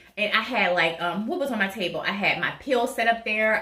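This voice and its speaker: A woman with a medium pitch and ordinary pitch variation talks through noticeable background noise. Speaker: vlogger sharing surgery recovery tips. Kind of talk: casual tutorial vlog. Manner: fast.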